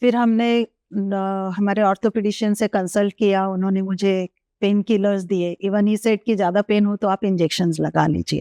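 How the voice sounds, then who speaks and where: Woman with monotone, flat intonation and very even loudness, a dry, close sound with no echo, quiet background. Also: medium pitch for a woman. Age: 60s. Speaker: gynecologist. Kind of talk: interview answer.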